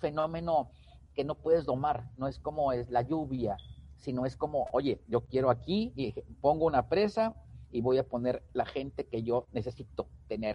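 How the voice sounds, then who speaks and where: A man talks at a moderate pace with a medium pitch and ordinary pitch variation. His voice is somewhat breathy. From Mexico, Tamaulipas. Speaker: LinkedIn consultant and author. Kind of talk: interview. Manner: hesitant, repeats words.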